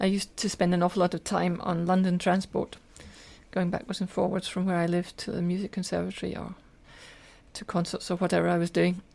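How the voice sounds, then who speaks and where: A woman talks very fast in a Scottish accent. Her fairly low pitch stays monotone and flat. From Scotland, Glasgow. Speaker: spiritual teacher and translator. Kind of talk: interview conversation. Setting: summer cottage.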